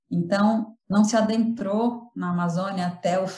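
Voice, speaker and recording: With a normal speaking voice, a woman talks at a fairly slow pace and keeps her intonation fairly even. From Brazil, São Paulo. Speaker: linguistics professor. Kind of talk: interview. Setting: remote call.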